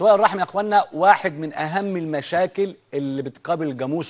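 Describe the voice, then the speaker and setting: A man's fairly high voice with lively intonation and a fairly quick pace, over a quiet background. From Egypt. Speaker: veterinarian TV host. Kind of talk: educational TV program. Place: studio. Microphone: lapel.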